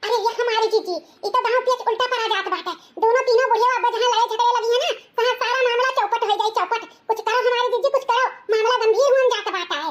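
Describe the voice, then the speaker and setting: A woman does a cartoonish character voice at an extremely high pitch. She talks at a fairly quick pace with fairly even intonation. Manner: conspiratorial, gossipy.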